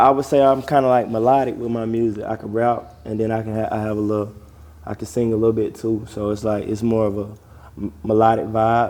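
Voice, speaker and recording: Using an Atlanta accent, a man with a medium pitch speaks at a fairly quick pace in a monotone, flat intonation. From Georgia, US South (Barnesville, near Atlanta). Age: 20s. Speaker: rapper. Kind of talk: casual interview.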